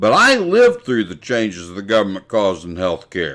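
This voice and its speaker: A man speaks with an American accent in an unremarkable speaking voice. His pitch is medium. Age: 60s. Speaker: podcast host. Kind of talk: scripted commentary. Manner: formal.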